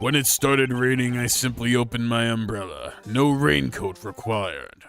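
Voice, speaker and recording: A man puts on a character voice with a medium pitch. He moves at a moderate pace with ordinary pitch variation. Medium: game stream. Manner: smooth, overly polite.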